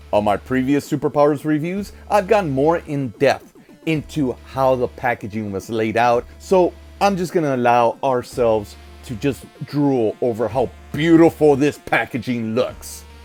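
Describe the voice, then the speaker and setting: Over music in the background, a man at a medium pitch talks at a fairly slow pace with lively intonation. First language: Spanish. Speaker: toy collector and reviewer. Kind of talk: unboxing review.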